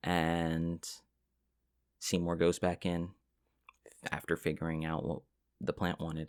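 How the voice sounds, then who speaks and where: A soft-spoken man talks at a fairly slow pace with a very deep, low pitch. The recording is very clean and the background silent. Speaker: ASMR relaxation content creator. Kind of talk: ASMR soft-spoken ramble. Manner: soft-spoken, casual, rambling.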